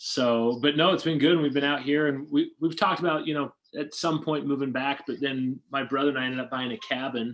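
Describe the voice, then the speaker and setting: Hardly pausing, a man talks at a fairly quick pace in a normal speaking voice, fairly high in pitch with fairly even intonation. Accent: American. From Utah (Sandy, south of Salt Lake City). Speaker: door-to-door sales leader. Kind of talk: casual interview chat.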